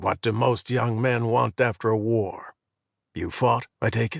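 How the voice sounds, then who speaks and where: Putting on a character voice, a man talks at a moderate pace in a raspy, medium-pitched monotone with flat intonation. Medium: read story. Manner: folksy, talkative.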